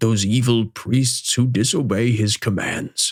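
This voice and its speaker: Using a put-on character voice, a man speaks in a gentle tone at a medium pitch and a fairly slow pace. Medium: read story. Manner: gentle, fatherly.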